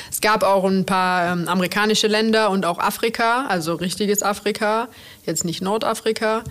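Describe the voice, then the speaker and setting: A woman at medium pitch, a plain, everyday voice, with fairly even intonation at a moderate pace. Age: 30s. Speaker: chef, restaurant owner. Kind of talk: interview.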